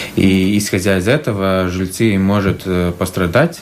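Over noticeable background noise, a man talks at a fairly slow pace in a very deep, low voice. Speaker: municipal housing company head. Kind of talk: radio interview. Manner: halting.

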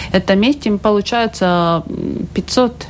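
At a fairly slow pace, a woman with a Latvian accent speaks in a medium pitch. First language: Latvian (speaking Russian). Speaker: health minister. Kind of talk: radio interview. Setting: radio studio. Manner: halting.

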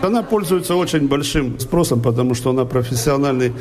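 Audible room echo and noticeable background noise around a man's voice with ordinary pitch variation. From Russia, Volgograd. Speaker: chanson singer. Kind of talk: interview. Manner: conversational.

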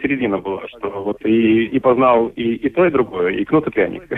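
With very wide pitch swings, a man keeps to a moderate pace. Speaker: marketing specialist and musician. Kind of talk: radio interview. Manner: halting.

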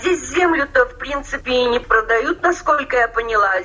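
A woman projects a raised voice, high in pitch with very wide swings and a bright, sharp tone. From Russian Far East, Amur region. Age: 60s. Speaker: emigrant pensioner-to-be, former English teacher. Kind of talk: interview.

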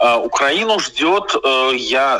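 Clearly audible background noise accompanies speech whose pitch rises and falls in a normal way. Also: man. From Moscow, Russia. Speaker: writer and journalist. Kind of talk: interview. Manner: hesitant fillers.

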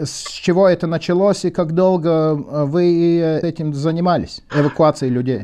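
The man's voice is fairly high in pitch with a dark, mellow tone, fairly even intonation and a moderate pace. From Latvia. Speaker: radio journalist. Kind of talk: interview.

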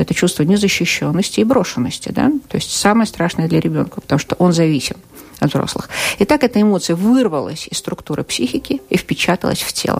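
Against noticeable background noise, a woman talks at a fairly quick pace. Her fairly low pitch makes very wide swings. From Russia. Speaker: psychotherapist. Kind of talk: interview. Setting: radio studio.

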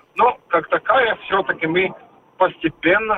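A man's voice over noticeable background noise. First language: Latvian (speaking Russian). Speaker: energy industry association executive. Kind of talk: radio interview. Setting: phone call. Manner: halting, with many filler sounds.

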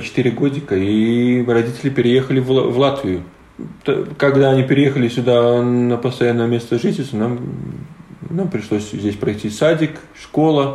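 Audible room echo around speech at a moderate pace, pitch varying in an ordinary way. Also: man. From Latvia, Latgale (Livani). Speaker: wheelchair basketball player. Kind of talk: interview.

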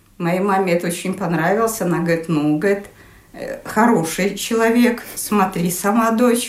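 Woman at medium pitch, moderate pace and ordinary pitch variation, with audible room echo and noticeable background noise. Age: 60s. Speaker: design engineer. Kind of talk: interview. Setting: at home.

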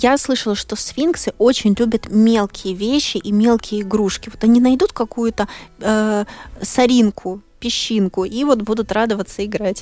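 An ordinary speaking voice proceeds at a fairly slow pace. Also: woman, fairly high pitch for a woman. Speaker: radio host. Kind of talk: live radio show hosting. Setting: studio.

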